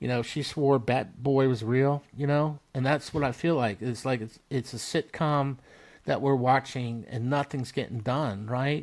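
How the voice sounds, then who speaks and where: A man's unremarkable speaking voice at medium pitch, fairly slow in pace with fairly even intonation. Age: 60s. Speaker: military veteran and blacksmithing business founder. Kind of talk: casual chat. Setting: podcast interview.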